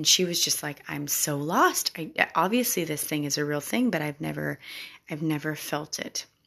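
With a very deep, low pitch and some vocal fry, a woman speaks at a moderate pace in a bright, sharp, animated tone with ordinary pitch variation. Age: 30s. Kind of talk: faith-based solo podcast talk.

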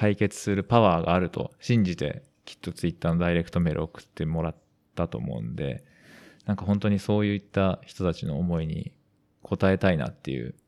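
Moving at a fairly quick pace, a man speaks at a very deep, low pitch with ordinary pitch variation. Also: very clean recording, silent background. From western Tokyo, Japan. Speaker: amateur footballer and podcast co-host. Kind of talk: casual podcast chat.

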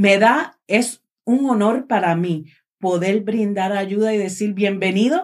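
A woman at a fairly slow pace, medium pitch and a normal speaking voice. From Puerto Rico. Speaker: charity director. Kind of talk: casual chat.

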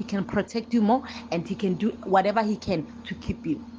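A woman talks in a normal speaking voice. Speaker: panelist. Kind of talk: casual chat.

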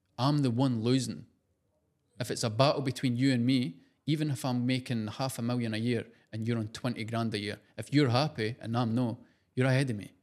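On a very clean recording with a silent background, a man speaks in a Scottish accent at a fairly quick pace. His medium-pitched voice has an animated tone. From Scotland. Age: 20s. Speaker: social media creator and clothing entrepreneur. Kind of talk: casual interview chat. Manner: casual, animated, swearing.

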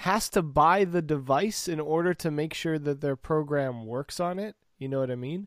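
A plain, everyday voice from a man, fairly high in pitch, on a very clean recording with a silent background. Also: dry, close sound with no echo. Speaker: podcast host. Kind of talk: casual banter podcast chat.

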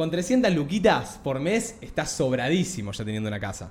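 Speaking at a fairly slow pace with a Rioplatense accent, a man's somewhat breathy voice makes very wide pitch swings. Audible room echo surrounds it. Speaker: podcast co-host. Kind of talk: casual chat.

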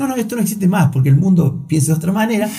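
A man speaks with a dark, mellow tone and very wide pitch swings. Audible room echo surrounds his voice. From Argentina, Río Cuarto (Córdoba). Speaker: entrepreneur. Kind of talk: interview. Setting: studio.

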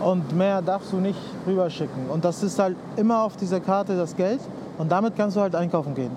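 Delivered at a fairly quick pace with very even loudness in a Spanish accent, the voice sits over noticeable background noise. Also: man, high pitch for a man, ordinary pitch variation. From Cuba, Havana. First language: Spanish (speaking German). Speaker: designer. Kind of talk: casual chat. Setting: outdoors at harbour fish auction hall.

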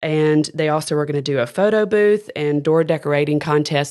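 In a Southern US accent, a woman speaks at a very deep, low pitch. The background is quiet. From Alabama (Decatur). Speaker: school arts education director. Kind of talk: casual interview.

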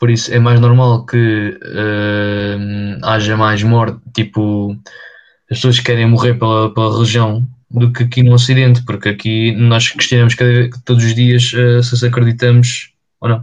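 A man delivers his words at a fairly slow pace in a monotone, flat intonation. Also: medium pitch for a man. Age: 20s. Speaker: podcast co-host. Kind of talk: casual chat.

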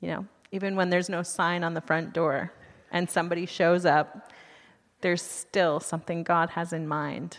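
At a moderate pace, a woman talks in a fairly low pitch with monotone, flat intonation. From US, Utah. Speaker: missionary, church speaker. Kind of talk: sermon.

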